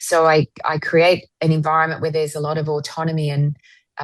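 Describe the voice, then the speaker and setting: Against a quiet background, a woman in an ordinary speaking voice talks at a fairly quick pace with a fairly low pitch. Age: 50s. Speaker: author and retreat leader, former pilot and rock singer. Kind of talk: podcast interview.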